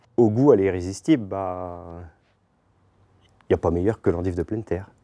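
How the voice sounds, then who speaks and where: A man's very deep, low voice with a dark, mellow tone, at a fairly quick pace with ordinary pitch variation, on a very clean recording with a silent background. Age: 30s. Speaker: farmer. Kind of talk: interview testimony. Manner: halting, many fillers and restarts.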